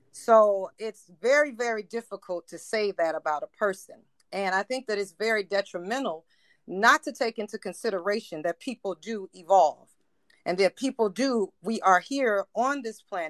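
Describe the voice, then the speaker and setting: The setting is quiet. An unremarkable speaking voice talks at a moderate speed, its intonation lively. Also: woman, dry, close sound with no echo. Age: 40s. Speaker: caller. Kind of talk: casual chat.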